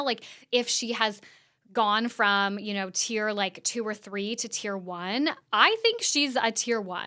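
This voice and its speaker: A woman with an American accent speaks at a fairly high pitch in a bright, sharp tone. The recording is very clean, with a silent background. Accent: often taken for Californian. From Canada. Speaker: podcast host. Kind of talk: casual commentary. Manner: chatty, filler-heavy.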